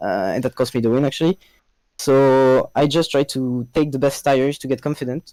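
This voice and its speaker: A man with a French accent, medium in pitch, with a dark, mellow tone, fairly even intonation and a moderate pace, in a very clean recording with a silent background and a dry, close sound with no echo. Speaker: esports racing driver. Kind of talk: post-race interview. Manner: halting.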